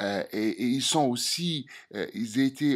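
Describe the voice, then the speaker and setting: A man is speaking here. He has a strong non-native accent. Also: very clean recording, silent background. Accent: strong foreign accent in French. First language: Algerian Arabic (speaking French). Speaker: political commentator. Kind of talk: opinion monologue to camera. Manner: halting, many hesitations and repetitions.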